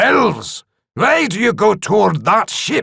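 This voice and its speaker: Someone puts on a growling character voice and speaks at a fairly slow pace. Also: man. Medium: read story. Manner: gruff, blunt.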